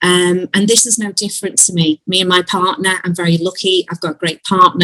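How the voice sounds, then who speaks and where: With a Liverpool accent, a woman speaks at a moderate pace and fairly even intonation, recorded dry and close with no echo. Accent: Scouse. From Liverpool, England. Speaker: Zoom call participant, band member. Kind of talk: casual group video call. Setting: video call. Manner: halting, many fillers.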